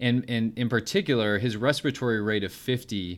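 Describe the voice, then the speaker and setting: With an American accent and an unremarkable speaking voice, a man speaks at a fairly quick pace and a fairly low pitch on a very clean recording with a silent background. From Utah. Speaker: chief resident physician. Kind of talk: case-based teaching discussion.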